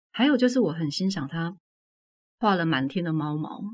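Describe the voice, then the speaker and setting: A woman's fairly low, somewhat breathy voice with lively intonation at a moderate pace. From Taiwan, Tainan. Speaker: author. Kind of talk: casual interview. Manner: clear, standard enunciation.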